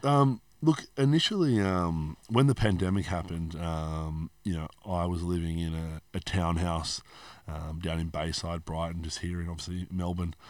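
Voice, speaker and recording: With an Australian accent, a man talks at a moderate pace in a very deep, low voice, recorded very cleanly against a silent background. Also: ordinary pitch variation. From Australia (Hobart, Tasmania). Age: 30s. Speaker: personal trainer and gym owner. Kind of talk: casual interview chat.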